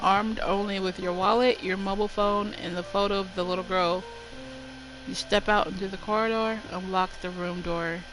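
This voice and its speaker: A woman talks in a medium-pitched voice with monotone, flat intonation. Music plays in the background. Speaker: streamer. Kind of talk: reading aloud game text on stream. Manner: careful, avoids closing mouth fully.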